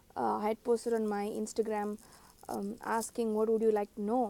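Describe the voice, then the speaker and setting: A woman speaks with a dark, mellow tone. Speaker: spiritual teacher. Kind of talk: casual monologue to camera. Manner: uneven volume, voice breaking; hesitant, many fillers.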